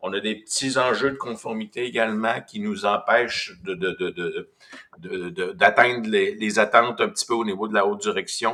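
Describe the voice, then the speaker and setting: A man with a Quebec accent, medium pitch, bright, sharp tone, ordinary pitch variation and moderate pace. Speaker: business development manager. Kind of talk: webinar presentation.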